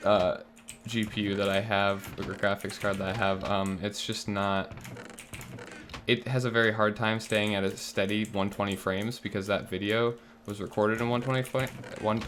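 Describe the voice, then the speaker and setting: With monotone, flat intonation and a fairly low pitch, a man speaks at a moderate pace over noticeable background noise. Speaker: gaming YouTuber. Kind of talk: gameplay commentary. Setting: home recording, roommates asleep. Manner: quiet, keeping voice low; relaxed, chill.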